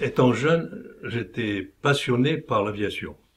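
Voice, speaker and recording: A man speaks in a somewhat breathy voice with ordinary pitch variation. The recording is very clean, with a silent background. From Morocco (Oujda). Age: 80s+. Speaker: war veteran. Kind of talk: interview testimony.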